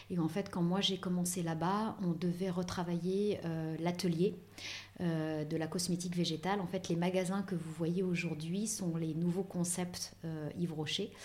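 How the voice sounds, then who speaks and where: A woman's fairly low, monotone voice with flat intonation, delivered at a fairly slow pace amid audible room echo. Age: 40s. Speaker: beauty industry professional. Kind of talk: interview.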